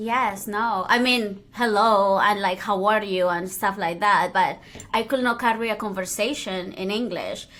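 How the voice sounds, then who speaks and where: A woman speaks slowly, fairly so, in a medium pitch with a Spanish accent. Her intonation stays fairly even. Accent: Spanish-speaking accent in English. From Colombia (Cali), then Spain (Madrid). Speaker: DJ and podcast host. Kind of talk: casual interview chat.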